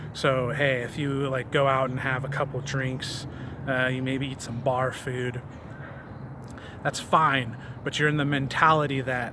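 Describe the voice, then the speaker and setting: Amid noticeable background noise and audible room echo, a man speaks fairly slowly at a medium pitch, flat and monotone, with long, frequent pauses. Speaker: fitness vlogger. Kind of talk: casual vlog monologue. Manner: hesitant, many fillers and repetitions; stumbles over words.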